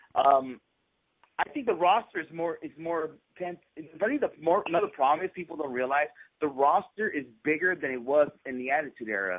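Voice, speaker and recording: This is a normal speaking voice with lively intonation. It moves at a fairly quick pace. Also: man, fairly high pitch for a man. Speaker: wrestling podcast host. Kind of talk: casual chat.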